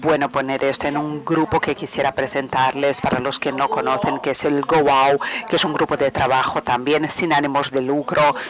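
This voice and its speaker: A man with a fairly high pitch speaks at a moderate pace, with hardly any pauses and very even loudness. His intonation is monotone and flat, and there is noticeable background noise. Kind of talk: webinar presentation. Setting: webinar. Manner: halting, many fillers.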